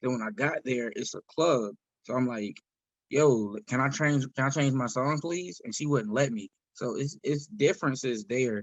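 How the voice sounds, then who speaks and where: A man with an American accent, medium in pitch, ordinary in pitch variation, at a moderate pace. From US South, South Carolina. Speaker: independent singer, rapper and comedian. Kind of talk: podcast interview. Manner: casual, halting.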